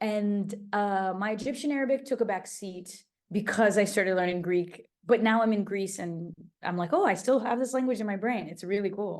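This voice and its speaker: A woman with a Portuguese accent talks at a moderate pace and medium pitch, with ordinary pitch variation. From Portuguese-speaking country, then English-speaking country as a child. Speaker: travel host and polyglot. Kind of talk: interview. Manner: casual, animated.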